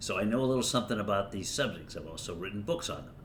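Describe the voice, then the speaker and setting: A man talks with an American accent, and audible room echo is heard around his voice. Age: 70s. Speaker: lawyer and political commentator. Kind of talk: casual political monologue. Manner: halting, many fillers and restarts.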